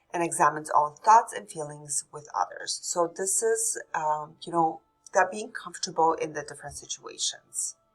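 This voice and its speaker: A woman with a Polish accent, fairly low-pitched, ordinary pitch variation, moderate pace, music in the background. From Poland. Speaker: nursing instructor. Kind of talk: recorded lecture. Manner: hesitant, with fillers.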